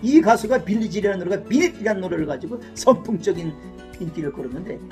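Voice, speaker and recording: Music plays in the background as a man speaks. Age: 60s. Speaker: YouTuber. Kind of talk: casual talk to camera about music.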